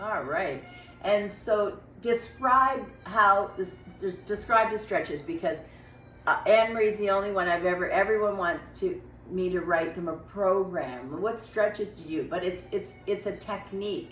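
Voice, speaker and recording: A woman talks at a fairly slow pace and medium pitch with lively intonation over noticeable background noise. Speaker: stretching coach. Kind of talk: casual interview to camera.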